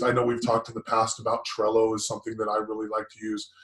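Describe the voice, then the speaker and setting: This is a man talking. His pace is fairly quick. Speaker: business podcast co-host. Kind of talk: casual chat. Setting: live stream. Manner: loud.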